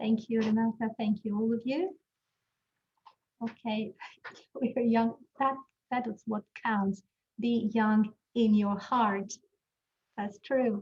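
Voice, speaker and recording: The voice is quiet and somewhat breathy, with fairly even intonation. It moves at a very slow pace with long, frequent pauses. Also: woman, fairly high pitch for a woman. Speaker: teacher trainer. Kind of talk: webinar.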